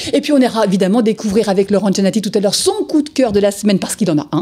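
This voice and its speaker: A woman speaks very fast with lively intonation at a medium pitch. Noticeable background noise runs under her voice. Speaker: TV presenter of a comic book show. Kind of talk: live TV show presenting; interview. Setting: TV studio, live broadcast.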